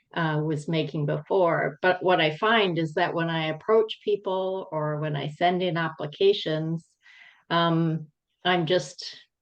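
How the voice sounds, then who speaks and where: A woman speaks in an ordinary speaking voice, pitched fairly low. She talks at a fairly slow pace with fairly even intonation. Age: 60s. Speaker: laid-off operations executive. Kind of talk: casual chat.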